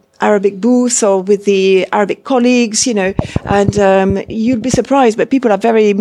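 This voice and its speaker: Over noticeable background noise, a woman speaks at a moderate pace and medium pitch in a monotone, flat intonation. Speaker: interpreting course lecturer. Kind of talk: welcome speech. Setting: university interpreting suite with audience.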